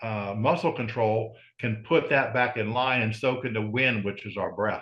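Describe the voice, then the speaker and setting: A man with an American accent talks at a moderate pace in an ordinary speaking voice, his pitch medium with ordinary variation. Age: 60s. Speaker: strongman and breathing coach. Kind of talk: interview.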